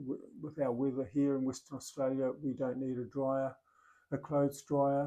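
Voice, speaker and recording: A man's dark, mellow tone, delivered in a flat monotone. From New Zealand. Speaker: retiree vlogger. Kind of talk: casual vlog talk to camera. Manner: hesitant, many fillers and restarts.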